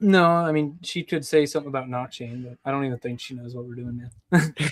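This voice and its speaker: Speaking very fast with an American accent, a man uses a fairly high pitch, ordinary pitch variation and big swings in loudness. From US South, North Georgia mountains. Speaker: crypto developer. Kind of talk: casual interview. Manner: casual, lots of filler.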